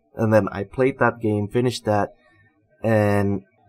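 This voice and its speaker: Fairly low male voice with music in the background. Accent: American. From United States. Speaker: gaming youtuber. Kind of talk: casual vlog monologue. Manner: halting, many fillers.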